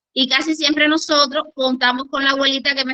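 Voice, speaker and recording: A woman's moderate-paced speech in a Cuban accent. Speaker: conference speaker, education and grief specialist. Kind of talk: lecture.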